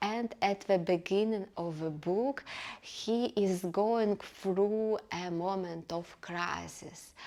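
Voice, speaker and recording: A woman with a non-native accent speaks at a very slow pace in a dark, mellow tone with fairly even intonation. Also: medium pitch for a woman. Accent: noticeable foreign. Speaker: book reviewer. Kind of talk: casual book review. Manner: hesitant, many fillers.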